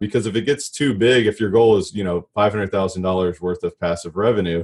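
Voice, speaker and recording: A man with a fairly low pitch talks in a plain, everyday voice, keeping a moderate speed and ordinary pitch variation. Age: 30s. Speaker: commercial real estate broker and coach. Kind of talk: interview conversation.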